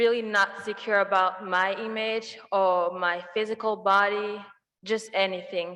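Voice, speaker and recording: A woman speaks at a very slow pace in a medium-pitched voice. Her intonation is monotone and flat. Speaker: university student speaker. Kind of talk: personal testimony speech.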